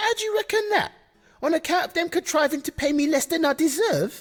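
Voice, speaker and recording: This put-on character voice is squeaky. It moves at a fairly quick pace. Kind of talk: mock Elizabethan speech. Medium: video game.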